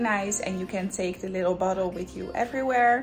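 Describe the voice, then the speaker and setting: With clear music in the background, a woman speaks at a moderate pace and with fairly even intonation. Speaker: vlogger. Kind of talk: casual vlog chat with a sponsor segment. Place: home room. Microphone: phone near.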